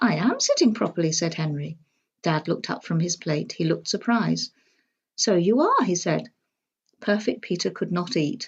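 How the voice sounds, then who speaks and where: With vocal fry and lively intonation, a woman speaks at a fairly low pitch and a moderate pace. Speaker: storybook reader. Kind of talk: children's storybook reading.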